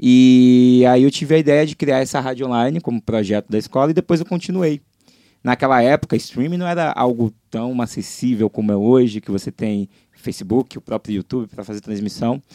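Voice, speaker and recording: A man with a medium pitch and a dark, mellow tone speaks fairly quickly with ordinary pitch variation, in a dry, close sound with no echo. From Brazil, Salvador (Bahia). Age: 20s. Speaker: pop music website founder. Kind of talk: casual interview.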